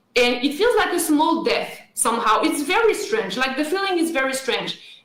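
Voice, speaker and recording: A woman with a French accent speaks at a moderate pace in a high voice, her pitch swinging very widely while her loudness stays very even, with audible room echo. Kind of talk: radio interview.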